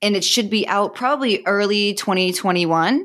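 A woman with a Boston accent, moderate pace and fairly even intonation. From Massachusetts, north of Boston. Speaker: author and relationship expert. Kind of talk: interview. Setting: remote call.

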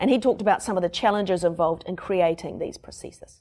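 At a very fast pace, a woman talks with a New Zealand accent on a very clean recording with a silent background. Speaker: podcast host and reporter. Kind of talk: casual chat and reporting. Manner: animated, joking.

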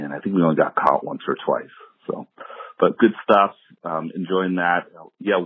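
Speech moves at a moderate pace, broken by long, frequent pauses. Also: man. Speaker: listener caller. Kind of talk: voicemail message. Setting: phone voicemail.

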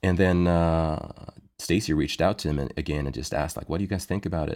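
A man with a very deep, low pitch and vocal fry speaks at a moderate pace with ordinary pitch variation. The recording is very clean, with a silent background. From Sweden. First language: Icelandic or Swedish. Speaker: worship leader and songwriter. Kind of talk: interview conversation.

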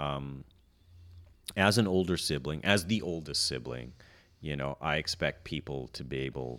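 In a very clean recording with a silent background, a man with vocal fry speaks at a moderate pace. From Canada. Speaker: stand-up comedian. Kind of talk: casual chat. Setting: behind plexiglass shield.

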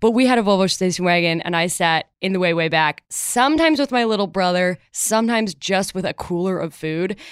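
A woman with a Midwestern American accent speaks at a fairly quick pace, with hardly any pauses. Her medium pitch shows ordinary variation, and the sound is dry and close with no echo. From Chicago, US Midwest. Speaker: comedy writer and sketch performer. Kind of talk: casual chat.

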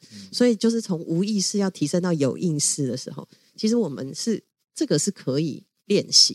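With a dark, mellow tone and fairly low pitch, a woman talks at a fairly quick pace through very wide pitch swings, in a dry, close sound with no echo. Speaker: LGBTQ rights advocacy leader. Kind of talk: interview conversation. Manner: animated, frequent laughter.

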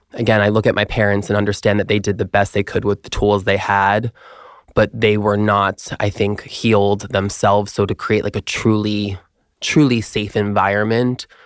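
A man with an American accent speaks at a fairly low pitch in a monotone, flat delivery, with a dry, close sound and no echo. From Long Island, New York. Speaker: former model turned activist. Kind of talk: interview.

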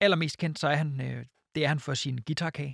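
Heard at a moderate pace with ordinary pitch variation, an ordinary speaking voice comes through on a very clean recording with a silent background and a dry, close sound with no echo. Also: man. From Jutland. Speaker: podcast co-host. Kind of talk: reading aloud; casual chat.

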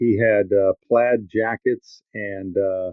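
With an American accent, a man speaks in a monotone, flat intonation. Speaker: sports broadcaster. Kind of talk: casual podcast interview. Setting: video call.

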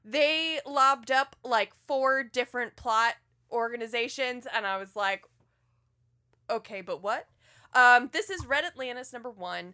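A woman with an American accent speaks at a high pitch in a bright, sharp tone. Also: ordinary pitch variation, fairly slow pace, dry, close sound with no echo. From US South. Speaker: comic book podcast host. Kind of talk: casual chat.

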